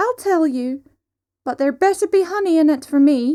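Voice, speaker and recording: Her put-on character voice is squeaky and pitched extremely high. The woman keeps a moderate pace. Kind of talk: childlike yet aged sigh. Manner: bargaining, sly.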